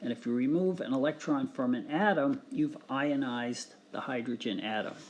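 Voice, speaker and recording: A man talks in an unremarkable speaking voice at a fairly high pitch. His pace is moderate and his intonation lively. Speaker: physics teacher. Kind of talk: tutorial.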